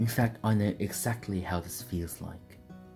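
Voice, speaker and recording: Over music in the background, a man speaks at a fairly low pitch and a moderate pace with ordinary pitch variation. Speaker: mechanical keyboard reviewer. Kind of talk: product review narration.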